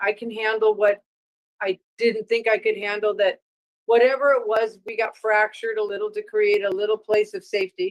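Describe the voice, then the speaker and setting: A woman's unremarkable speaking voice, fairly high in pitch and fairly even in intonation, at a moderate pace, dry and close with no echo. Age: 60s. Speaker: guest on spiritual talk show. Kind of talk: casual interview chat.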